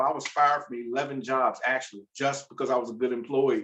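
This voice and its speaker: The speaker is a man with an American accent. He talks at a very fast pace. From US South, Virginia. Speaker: food entrepreneur. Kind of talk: panel discussion.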